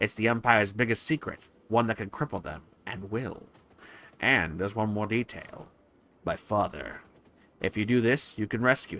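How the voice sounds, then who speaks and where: At a moderate pace, a put-on character voice speaks with long, frequent pauses. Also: man, medium pitch for a man. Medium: game stream. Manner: calm, businesslike.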